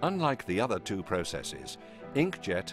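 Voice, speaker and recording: Music plays in the background as a man with a British accent talks at a fairly quick pace. His pitch swings very widely. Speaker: narrator. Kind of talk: corporate narration.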